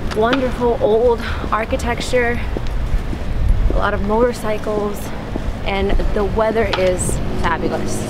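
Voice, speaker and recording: A woman speaks with long, frequent pauses. Loud background noise runs underneath. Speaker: travel vlogger. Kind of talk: casual vlog chat. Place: street. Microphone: phone near.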